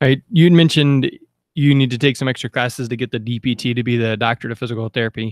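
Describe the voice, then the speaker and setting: His pitch stays medium. The man talks at a very fast pace. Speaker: podcast host. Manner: upbeat.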